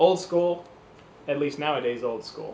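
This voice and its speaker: Recorded with audible room echo, a man with an American accent and a fairly high pitch speaks with lively intonation. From US Midwest, Cleveland, Ohio. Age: 30s. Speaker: performer. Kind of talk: casual self-introduction to camera. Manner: animated.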